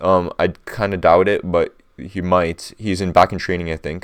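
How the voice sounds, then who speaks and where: Over a quiet background, a man speaks in a very deep, low voice. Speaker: fantasy football content creator. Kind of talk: casual commentary tutorial. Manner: hesitant, many fillers and restarts; fast, rushed.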